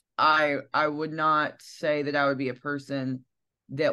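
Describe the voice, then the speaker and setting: A woman's very deep, low voice in a Southern US accent, monotone and flat, at a fairly slow pace. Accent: Southern twang. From US South, Alabama (Piedmont). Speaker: singer-songwriter. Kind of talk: interview.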